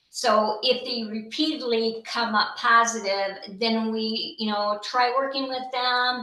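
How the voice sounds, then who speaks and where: Speaking at a very slow pace with hardly any pauses, a woman uses a fairly high pitch and fairly even intonation. Noticeable background noise and audible room echo fill the recording. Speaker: case manager at veterans program. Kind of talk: presentation on video call.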